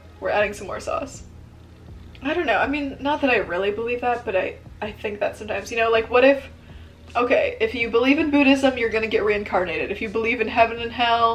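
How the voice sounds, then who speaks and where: Over music in the background, a woman talks at a very fast pace, her fairly high voice showing ordinary pitch variation. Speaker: vlogger. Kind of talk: casual chat. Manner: quiet.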